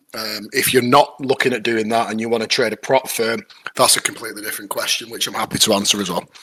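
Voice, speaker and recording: A man with a northern English accent talks at a very fast pace in a flat, monotone delivery. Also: medium pitch for a man. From northern England. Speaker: trading student. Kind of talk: casual chat.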